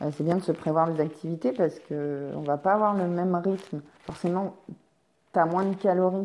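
This woman's pitch is fairly low, her intonation fairly even, and her pace moderate. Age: 30s. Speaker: podcaster on energy healing and wellbeing. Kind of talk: casual solo book review. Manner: hesitant, many fillers.

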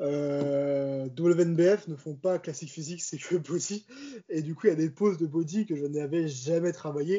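A man with an unremarkable speaking voice, a fairly high pitch, and fairly even intonation. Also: fairly slow pace. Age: 20s. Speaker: amateur bodybuilder. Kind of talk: casual chat.

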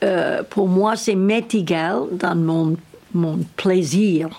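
A woman speaks at a very slow pace. Her medium pitch shows ordinary variation. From United States. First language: English (speaking French). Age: 80s+. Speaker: equestrian trainer. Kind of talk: interview. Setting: at her home. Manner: halting.

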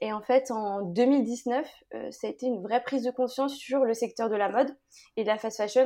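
A woman talks at a moderate pace in a plain, everyday voice. Her pitch is fairly high and her intonation fairly even. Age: 20s. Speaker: fashion brand founder. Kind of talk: interview.

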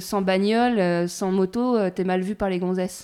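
In a very clean recording with a silent background, a woman speaks at a medium pitch in an unremarkable speaking voice. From rural France, small village. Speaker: podcast host. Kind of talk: casual interview. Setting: at the guest's home.

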